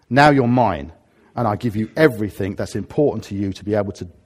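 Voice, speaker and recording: With a southern English accent, a man speaks at a moderate pace in a fairly low pitch and lively intonation, on a very clean recording with a silent background. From England, Harrow. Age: 50s. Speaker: pastor. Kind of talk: sermon. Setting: church.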